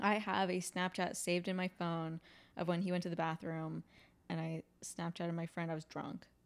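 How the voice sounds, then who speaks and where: This voice has a monotone, flat intonation at a moderate pace. The recording is very clean, with a silent background. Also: woman, fairly low pitch for a woman. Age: 20s. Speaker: podcast host. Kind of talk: casual chat.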